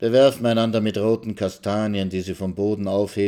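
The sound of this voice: The reading voice is unforced. Its intonation holds fairly even.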